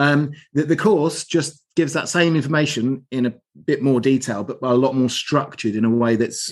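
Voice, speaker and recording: Speaking at a moderate pace, a man with a southern English accent has a fairly high pitch. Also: ordinary pitch variation, quiet background. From southern England (Aldershot, Hampshire). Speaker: heating engineer and business director. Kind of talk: interview. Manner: upbeat.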